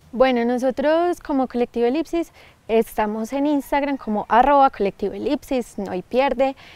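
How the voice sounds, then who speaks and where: A woman's high-pitched voice with a dark, mellow tone, dry and close with no echo, on a very clean recording with a silent background. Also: ordinary pitch variation, moderate pace. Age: young. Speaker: actress and filmmaker. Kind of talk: interview. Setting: outdoors.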